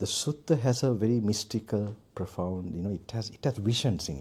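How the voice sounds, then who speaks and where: Speaking with a Sri Lankan accent, a man sounds somewhat breathy, with a dark, mellow tone and lively intonation. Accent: non-American, Sri Lankan English. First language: Sinhala. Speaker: Buddhist monk and meditation teacher. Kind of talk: dharma talk at meditation retreat. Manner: halting, with many fillers.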